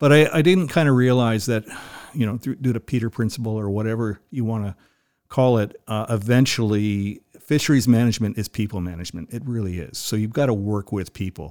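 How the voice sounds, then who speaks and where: A plain, everyday voice with a Canadian accent moves at a fairly quick pace, with ordinary pitch variation. The recording is very clean, with a silent background. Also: man, medium pitch for a man. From southern Ontario, Canada. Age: 60s. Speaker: retired biologist, conservation chapter president. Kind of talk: casual interview chat. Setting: recorded at his home.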